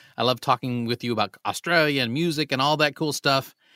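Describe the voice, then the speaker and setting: Here a man talks at a fairly quick pace, medium in pitch, with ordinary pitch variation. The sound is dry and close, with no echo. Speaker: podcast host. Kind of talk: casual interview. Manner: animated.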